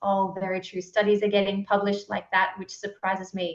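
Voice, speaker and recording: A woman speaks with an Australian accent. Her pitch is medium. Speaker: book club moderator. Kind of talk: online discussion.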